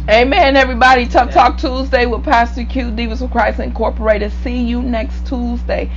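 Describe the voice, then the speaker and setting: Over background music, a woman speaks at a moderate pace. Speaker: preacher. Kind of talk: sermon with prayer and call-and-response. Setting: online video broadcast to a church audience. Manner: fervent, repetitive, preacherly cadence, urging the congregation to respond; halting, with repeated words and restarts. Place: home room. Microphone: lapel.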